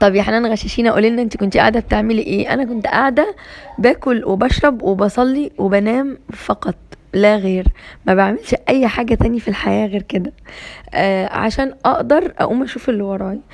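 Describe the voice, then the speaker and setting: Over noticeable background noise, a woman with an Egyptian accent speaks in an animated tone at a fairly high pitch with ordinary pitch variation. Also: moderate pace. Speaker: homemaking vlogger. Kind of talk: casual vlog monologue.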